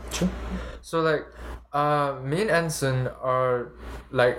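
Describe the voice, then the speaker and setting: A somewhat breathy man talks at a fairly high pitch with ordinary pitch variation. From Malaysia. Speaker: university student podcaster. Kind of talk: casual chat. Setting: home room, shared USB mic.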